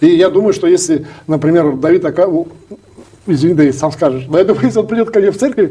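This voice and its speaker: With lively intonation and a high pitch, a man speaks at a very fast pace. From Yakutia, Russia. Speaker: Russian community representative. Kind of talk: interview.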